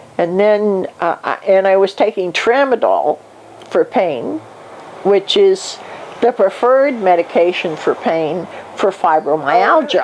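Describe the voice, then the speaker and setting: Lively in intonation, a woman speaks at a fairly slow pace against noticeable background noise. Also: medium pitch for a woman, very even loudness. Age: 60s. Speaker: hospice patient and retired nurse. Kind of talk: life review interview.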